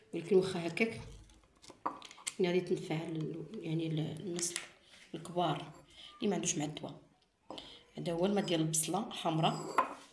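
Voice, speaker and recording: A woman with a fairly low voice talks at a fairly quick pace, with fairly even intonation, long and frequent pauses, audible room echo and noticeable background noise. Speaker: cooking and home remedy vlogger. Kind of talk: tutorial. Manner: halting, self-correcting.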